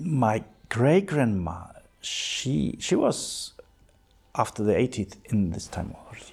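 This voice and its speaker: Very slowly, a man at medium pitch talks with long, frequent pauses and vocal fry. His pitch swings very wide and his loudness swings a lot. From East Germany, rural northeast near Polish border. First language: German. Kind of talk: personal testimony interview. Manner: halting.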